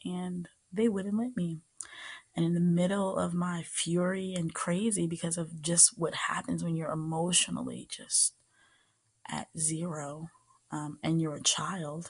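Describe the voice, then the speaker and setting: A soft-spoken woman's fairly low, gentle voice at a fairly slow pace with fairly even intonation. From American. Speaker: ASMR creator. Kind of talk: soft-spoken personal storytelling to camera. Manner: soft-spoken, gentle.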